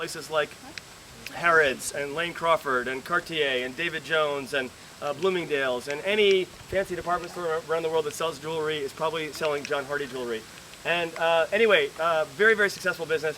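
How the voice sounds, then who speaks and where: Against noticeable background noise, a man with an American accent talks at a fairly quick pace in a fairly high pitch. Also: ordinary pitch variation. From New York. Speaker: school tour guide. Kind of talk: guided tour talk to visitors. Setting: outdoors. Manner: fast.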